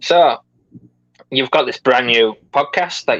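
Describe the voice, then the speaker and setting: A man with an English accent speaks at a very slow pace, and the sound is dry and close with no echo. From England. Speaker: podcast host. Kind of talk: interview. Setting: live video podcast.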